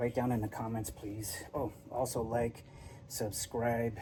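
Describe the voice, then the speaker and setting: Soft-spoken and somewhat breathy, a man talks with a dark, mellow tone. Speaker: vintage VW mechanic youtuber. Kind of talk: workshop tutorial vlog. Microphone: no mic on, camera audio.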